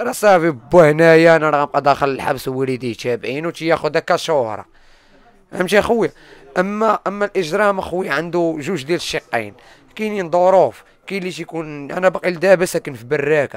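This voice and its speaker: The sound is dry with no echo. A man speaks at a fairly quick pace in a fairly high pitch with ordinary pitch variation. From Morocco, Salé; Morocco. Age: 20s. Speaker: former prisoner and YouTuber. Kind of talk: personal testimony interview. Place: home room. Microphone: handheld.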